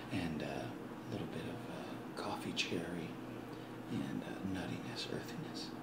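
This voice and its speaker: The voice is whispering, fairly slowly. Background noise is noticeable. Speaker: ASMR creator. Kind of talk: ASMR coffee-making talk to camera. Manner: soft-spoken.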